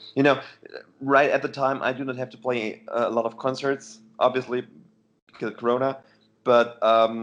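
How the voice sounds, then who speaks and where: A man with a German accent speaks at a moderate pace in a monotone, flat intonation, his loudness swinging widely. Long pauses come often, and the background is quiet. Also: medium pitch for a man. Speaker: heavy metal musician. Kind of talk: casual interview. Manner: halting.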